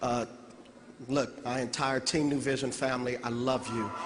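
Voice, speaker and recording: Noticeable background noise sits behind a man speaking at medium pitch in a monotone, flat way. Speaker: network marketing distributor, former youth pastor. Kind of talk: convention speech.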